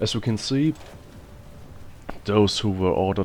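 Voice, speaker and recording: A man's fairly low-pitched voice with lively intonation. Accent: non-native. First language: not English. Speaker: gaming video creator. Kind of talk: gameplay commentary.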